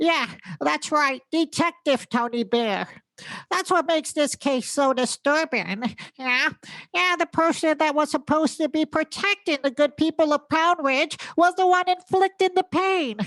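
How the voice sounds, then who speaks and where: A put-on character voice moves at a moderate pace. The sound is dry and close with no echo, over a quiet background. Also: woman, high pitch for a woman. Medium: comedy sketch. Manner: mumbling, hesitant, giggly.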